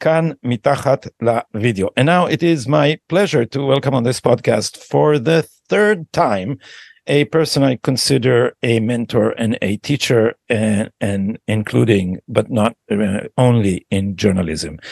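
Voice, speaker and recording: A man's medium-pitched voice in an Israeli accent, fairly slow, with lively intonation and a dry, close sound with no echo. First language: Hebrew. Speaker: podcast host. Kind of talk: interview.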